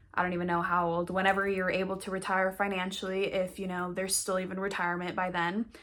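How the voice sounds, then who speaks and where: Over noticeable background noise, a woman with an American accent talks at a very fast pace with hardly any pauses, her medium-pitched voice monotone and flat. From western Colorado, US. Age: 20s. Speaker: actress and acting coach. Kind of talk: online course talk to camera. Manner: casual, conversational.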